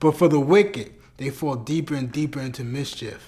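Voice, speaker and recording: A solemn-toned man with a fairly high pitch and ordinary pitch variation. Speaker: spoken word performer. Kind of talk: spoken word poetry. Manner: earnest, fervent, rhythmic preaching cadence; solemn, deliberate, declarative. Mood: solemn, devotional.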